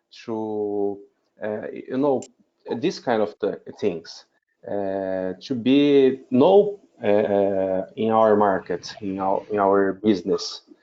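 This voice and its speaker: In a Portuguese accent, a man with a fairly low pitch speaks at a very slow pace with ordinary pitch variation. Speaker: wedding officiant. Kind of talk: group video call discussion. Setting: video call webinar. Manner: halting, many fillers.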